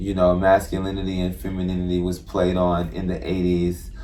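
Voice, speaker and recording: A man with an American accent, his pitch very deep and low, at a moderate pace in a monotone, flat delivery, with noticeable background noise and audible room echo. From Texas, Houston. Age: 30s. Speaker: creative artist and stylist. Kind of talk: casual interview. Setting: in-person interview at a venue.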